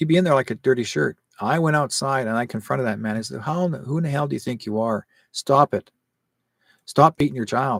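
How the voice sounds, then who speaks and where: A man's animated, medium-pitched voice at a moderate pace, recorded dry and close with no echo. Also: very clean recording, silent background. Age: 60s. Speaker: psychic call-in show host. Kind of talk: casual monologue on live stream. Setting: live stream.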